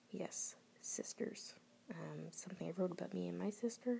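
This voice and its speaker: Quietly, someone with an American accent speaks at a fairly slow pace. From Florida, US. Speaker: podcaster reading own writing. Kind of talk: casual monologue. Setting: at home at night. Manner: halting, many fillers.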